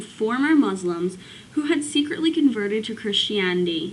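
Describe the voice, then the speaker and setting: Noticeable background noise sits behind a woman with a fairly high pitch. She speaks at a moderate pace with very wide pitch swings. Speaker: student. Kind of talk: casual talk to camera. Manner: hesitant, stuttering.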